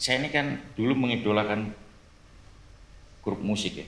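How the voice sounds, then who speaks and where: At a medium pitch and a moderate pace, a man speaks with ordinary pitch variation amid audible room echo. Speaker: police officer. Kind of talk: casual chat.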